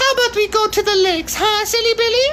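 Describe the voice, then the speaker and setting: Against clear background noise, a squeaky put-on character voice goes at a fairly quick pace. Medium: read story. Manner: playful, teasing.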